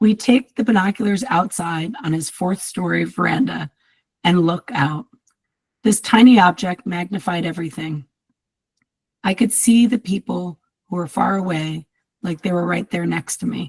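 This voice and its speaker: A woman with a fairly low pitch and vocal fry speaks at a moderate pace with ordinary pitch variation, leaving long, frequent pauses. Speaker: writer reading own work. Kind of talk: reading aloud.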